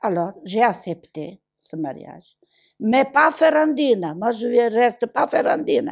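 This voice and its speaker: The recording is very clean, with a silent background. A woman with a fairly high pitch talks very slowly. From southern Italy, Basilicata. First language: Italian (speaking French). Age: 80s+. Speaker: migrant woman. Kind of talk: testimony. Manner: animated.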